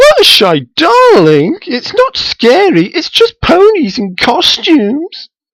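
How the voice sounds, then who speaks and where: A man uses a put-on character voice pitched extremely high. He goes at a fairly slow pace with hardly any pauses. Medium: read story. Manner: posh, calls others darling.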